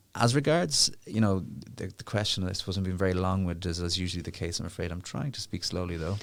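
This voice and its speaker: A man's very deep, low voice with an Irish accent, very fast pace and ordinary pitch variation on a very clean recording with a silent background. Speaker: legal charity director. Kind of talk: interview. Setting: studio.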